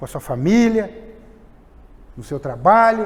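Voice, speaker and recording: A man speaks at a fairly slow pace with very wide pitch swings. Audible room echo surrounds his voice. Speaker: preacher. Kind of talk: sermon.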